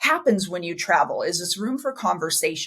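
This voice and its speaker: A woman's somewhat breathy voice with an enthusiastic tone. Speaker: podcast host. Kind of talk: interview podcast. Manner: fast.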